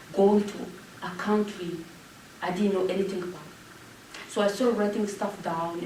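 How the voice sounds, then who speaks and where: A woman speaks in a French accent at a moderate pace, her intonation monotone and flat, with long, frequent pauses. There is noticeable background noise along with audible room echo. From Rwanda. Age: 40s. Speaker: genocide survivor and public speaker. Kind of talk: Q&A after a talk.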